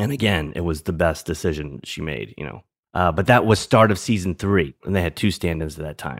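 In an American accent, a man with a very deep, low pitch and vocal fry speaks with lively intonation on a very clean recording with a silent background. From New Orleans, US South. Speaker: former TV stand-in and actor, fantasy league commissioner. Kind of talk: casual interview chat. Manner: halting, with repeated words.

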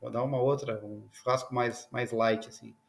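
The speaker is a man with a medium pitch. His intonation is fairly even and his pace moderate. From Rio Grande do Sul, southern Brazil. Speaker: semiconductor engineer. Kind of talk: interview; casual chat.

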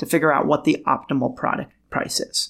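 A man with an American accent has a plain, everyday voice, fairly high in pitch, speaking at a moderate pace on a very clean recording with a silent background. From Lebanese-Armenian, raised in Los Angeles. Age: 40s. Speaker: tech founder and venture investor. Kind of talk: interview.

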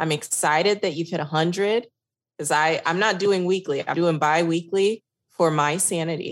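In a slight Texas accent, a woman speaks at a moderate pace with a fairly low pitch and fairly even intonation. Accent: slight Texas, says y'all. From New York. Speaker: workplace consultant and podcast host. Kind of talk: casual interview chat.

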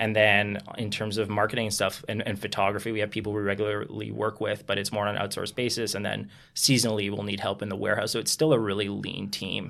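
In a very clean recording with a silent background, a man with a Canadian accent rushes along at a very fast pace with hardly any pauses, his fairly low pitch carrying vocal fry and a monotone, flat intonation. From Toronto, Canada. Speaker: company founder. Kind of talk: interview.

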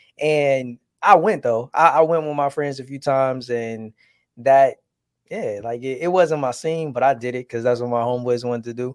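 On a very clean recording with a silent background, a man with an American accent talks at a moderate pace and medium pitch, showing ordinary pitch variation and big swings in loudness. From Detroit area, Michigan. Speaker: podcast host. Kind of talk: casual chat. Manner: animated.

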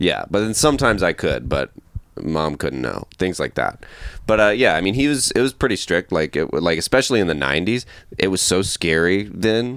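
A man speaks at a moderate pace with a fairly low pitch. His voice makes very wide pitch swings. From US South, Georgia. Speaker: comedian. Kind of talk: casual chat.

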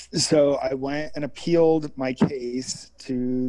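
Very slow speech in an American accent. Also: man. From California. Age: 40s. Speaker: former adult film performer and producer. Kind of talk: casual interview chat.

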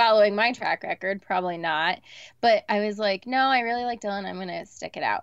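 Speaking at a fairly quick pace, a woman has an unremarkable speaking voice with ordinary pitch variation. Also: medium pitch for a woman. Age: 30s. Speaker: reality TV personality and blogger. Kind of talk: casual chat. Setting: video call from her closet.

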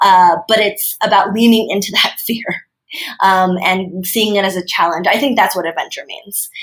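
A woman speaks at a moderate pace in a medium-pitched, somewhat breathy voice with fairly even intonation. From China. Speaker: marketing executive and entrepreneur. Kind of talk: casual interview.

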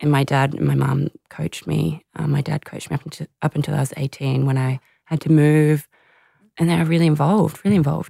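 In an Australian accent, a woman talks at a fairly quick pace with a very deep, low pitch, a dark, mellow tone and fairly even intonation, in a dry, close recording with no echo. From Australia, Canberra. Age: 30s. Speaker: former Olympic hockey player. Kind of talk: interview about personal struggles.

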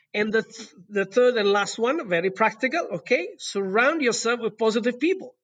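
This man's voice sits at an extremely high pitch. His intonation is lively and his pace moderate. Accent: Italian. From southern Italy. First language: Italian. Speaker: resort general manager. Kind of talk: interview. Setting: remote call. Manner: halting, many fillers and repetitions.

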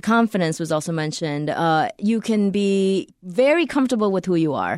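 On a very clean recording with a silent background and a dry, close sound with no echo, a woman with an unremarkable speaking voice talks at medium pitch and moderate pace, with ordinary pitch variation. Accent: American. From US, Korean American. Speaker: podcast co-host. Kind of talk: interview.

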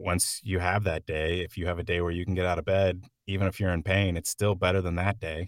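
Recorded very cleanly against a silent background, a man with an American accent speaks in a very deep, low pitch, the sound dry and close with no echo. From Oklahoma. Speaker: actor and comedian. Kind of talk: casual chat. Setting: home sound booth.

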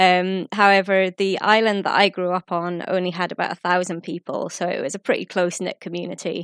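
Against a quiet background, a woman speaks fairly quickly with hardly any pauses, at a medium pitch in a flat monotone, with a dry, close sound and no echo. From Orkney, Scotland. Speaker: travel blogger. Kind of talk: recorded contribution.

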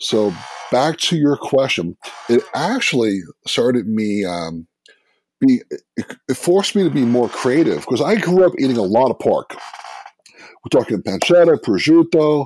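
An animated man with a fairly high pitch, very wide pitch swings, a moderate pace and long, frequent pauses, in a dry, close sound with no echo. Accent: New York. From New York, Brooklyn. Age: 50s. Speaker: food blogger. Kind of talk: casual chat.

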